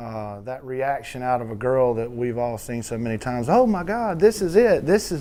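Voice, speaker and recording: Here a man speaks at a medium pitch. He has a dark, mellow tone. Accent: strong Southern Georgia. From US South, southwest Georgia. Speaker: country songwriter. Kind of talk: interview talk. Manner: halting, many repetitions.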